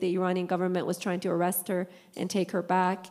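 The recording is very clean, with a silent background. A woman speaks fairly quickly at a medium pitch. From Middle East. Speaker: church member, advocate for persecuted Christians. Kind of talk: testimony.

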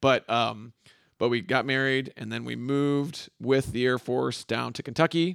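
In a normal speaking voice, the speaker goes at a moderate pace, with a dry, close sound and no echo. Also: man, medium pitch for a man. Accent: American. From West Michigan, US Midwest. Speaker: church elder candidate. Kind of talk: casual interview.

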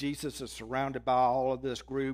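A man at medium pitch in a Southern US accent, with music in the background. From Mississippi, US South. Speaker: guest preacher. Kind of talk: sermon.

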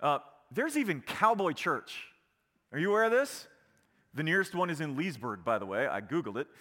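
A man speaks with an American accent, his pitch swinging very widely. The recording is very clean, with a silent background. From Virginia, small town. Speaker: pastor. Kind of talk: sermon. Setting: church. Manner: animated.

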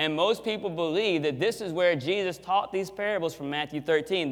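The voice is loud. Its pitch variation is ordinary. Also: man. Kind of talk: sermon. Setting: church with live audience and microphone.

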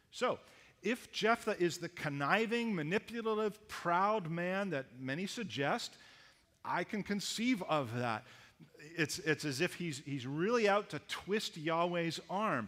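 A man's high voice with a Canadian accent, bright and sharp in tone, with lively intonation at a fairly slow pace. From Canada. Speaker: pastor. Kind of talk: sermon.

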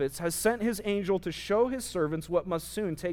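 The speaker uses an unforced reading voice and varies pitch in an ordinary way.

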